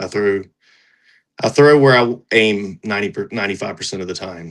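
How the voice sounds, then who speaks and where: A man with an American accent, fairly low pitch, ordinary pitch variation, and a normal speaking voice. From North Carolina. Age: 40s. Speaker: professional disc golfer. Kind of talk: casual interview.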